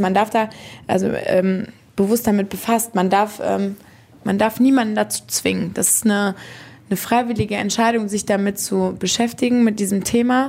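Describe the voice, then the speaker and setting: With noticeable background noise behind her, a woman talks at a moderate pace in a calm tone, her medium-pitched voice monotone and flat with very even loudness. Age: 20s. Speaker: funeral director. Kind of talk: casual interview. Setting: funeral home.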